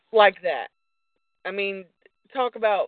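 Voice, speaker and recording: A woman talks in a normal speaking voice. Her pitch is medium and her pace moderate. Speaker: wrestling fan. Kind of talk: casual chat. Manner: outspoken.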